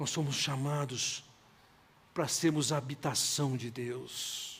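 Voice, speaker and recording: Room echo is audible as a man speaks at a very slow pace. His pitch is fairly high and his intonation monotone and flat. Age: 60s. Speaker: pastor. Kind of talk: sermon.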